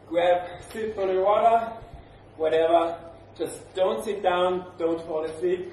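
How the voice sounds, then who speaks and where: A man speaks very slowly at a high pitch with ordinary pitch variation. Audible room echo and light background noise accompany his voice. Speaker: fitness trainer. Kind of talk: workout instruction. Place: gym. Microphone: camera far.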